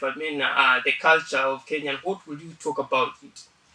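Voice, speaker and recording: Behind this man's voice there is noticeable background noise. He speaks at a moderate pace with a fairly high pitch and fairly even intonation. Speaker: podcast host at a college. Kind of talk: interview.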